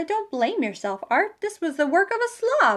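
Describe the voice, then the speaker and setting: Putting on a character voice, a woman speaks at an extremely high pitch and a moderate pace with very wide pitch swings. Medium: read story. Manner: bright, earnest.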